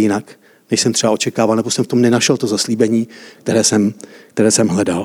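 Very fast and in a flat monotone, a man speaks at a medium pitch. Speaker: preacher. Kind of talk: sermon. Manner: interactive, asks audience questions.

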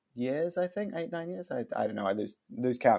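The speaker is a man with a New Zealand accent. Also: very clean recording, silent background. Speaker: marketing agency director. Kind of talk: interview. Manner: hesitant, repeats words.

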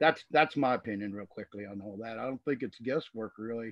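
At a moderate pace, a man speaks with a Southern US accent. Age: 60s. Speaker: cannabis grower and blogger. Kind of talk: casual chat. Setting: video call.

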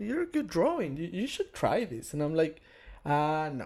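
Lively intonation marks this moderate-paced delivery in a Spanish accent, on a very clean recording with a silent background. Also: man. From Venezuela. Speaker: tattoo artist. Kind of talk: casual chat.

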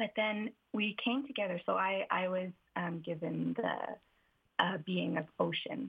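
An ordinary speaking voice with ordinary pitch variation, at a fairly slow pace. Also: woman, medium pitch for a woman. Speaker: forest therapy guide. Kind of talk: interview. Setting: phone call. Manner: soothing.

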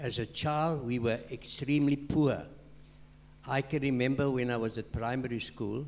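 This man has a South African accent. He talks at a fairly slow pace. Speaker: church member. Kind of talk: panel discussion. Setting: stage with audience.

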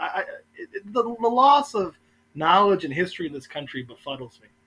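A man with a high pitch speaks in a raised, projected voice. He keeps a moderate pace. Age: 30s. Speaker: city councilman and political consultant. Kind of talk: casual chat.

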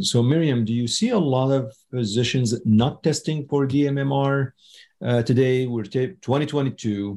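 In a very clean recording with a silent background, a man talks at a medium pitch with a dark, mellow, somewhat breathy tone. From Middle East (Syria/Lebanon). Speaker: podcast host, oncologist. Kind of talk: interview.

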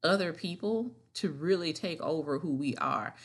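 Speaking at a fairly slow pace, a woman has a plain, everyday voice with a fairly low pitch and ordinary pitch variation over a quiet background. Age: 30s. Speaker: podcast host and wellness author. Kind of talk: solo podcast monologue.

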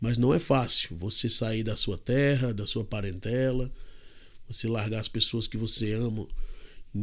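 A man talks at a moderate pace and medium pitch, with fairly even intonation and a plain, everyday voice. The recording is very clean, with a silent background. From Brazil, Fortaleza, Ceará. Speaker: missionary preacher. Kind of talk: podcast interview with preaching. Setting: studio table recording.

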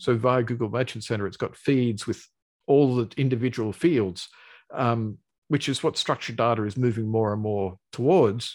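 The speaker talks at a moderate pace with an Australian accent and ordinary pitch variation. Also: man, medium pitch for a man. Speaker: search engineer guest. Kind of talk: casual interview. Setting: video call.

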